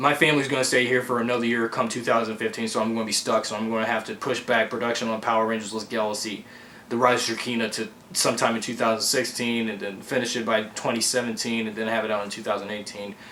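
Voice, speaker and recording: A man talks at a very fast pace in a monotone, flat intonation. Noticeable background noise runs underneath. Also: medium pitch for a man. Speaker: amateur fan filmmaker. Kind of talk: casual vlog update. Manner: halting.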